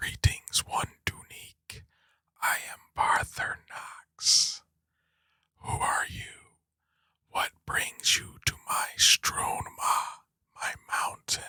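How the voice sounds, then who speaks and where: A put-on character voice in a whisper, at a very slow pace, with long, frequent pauses. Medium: solo performance. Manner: slow, solemn, formal.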